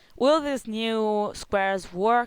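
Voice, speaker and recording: Speaking at a very slow pace with ordinary pitch variation, a woman with an Italian accent is heard in a very clean recording with a silent background. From Italy. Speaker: gaming video creator. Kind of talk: gameplay commentary. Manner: halting.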